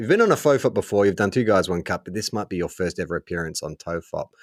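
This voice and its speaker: A man with an Australian accent speaks at a fairly low pitch in a dry, close recording with no echo. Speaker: podcast co-host. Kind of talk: casual chat.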